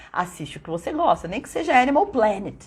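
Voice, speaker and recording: A somewhat breathy woman's voice in a very clean recording with a silent background. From São Paulo state, Brazil (São Bernardo). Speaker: English teacher. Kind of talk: live stream talk. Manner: animated.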